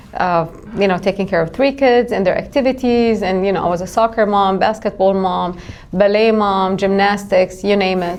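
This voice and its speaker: A woman with an Arabic accent at a moderate pace and medium pitch, fairly even intonation, noticeable background noise. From Jerusalem, Middle East. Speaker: life insurance agent. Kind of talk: podcast interview.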